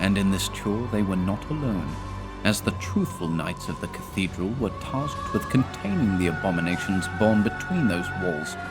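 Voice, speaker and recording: A man's fairly low-pitched voice at a moderate pace, with music in the background. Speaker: narrator. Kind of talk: video game lore narration.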